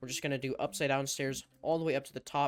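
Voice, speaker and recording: Over music in the background, a man with a medium pitch speaks at a very fast pace in a fairly even intonation. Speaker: Minecraft tutorial YouTuber. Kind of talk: tutorial. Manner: casual, lots of fillers.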